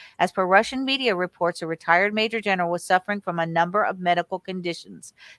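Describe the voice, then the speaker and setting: A woman with an American accent speaks very fast with fairly even intonation in a dry, close recording with no echo, very clean and with a silent background. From California. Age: 60s. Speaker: conspiracy researcher. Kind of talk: reading aloud news articles with commentary.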